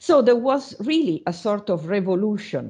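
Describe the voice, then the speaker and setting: Against a quiet background, a woman speaks in a dark, mellow tone. Her pace is fairly slow and her intonation lively. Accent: Italian. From Italy. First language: Italian. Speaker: university lecturer. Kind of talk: online lecture. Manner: halting, many fillers.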